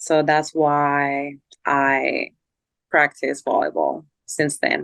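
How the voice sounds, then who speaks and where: A woman speaks very slowly with a Spanish accent. The sound is dry and close, without any echo. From Colombia. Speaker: volleyball player. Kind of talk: casual interview.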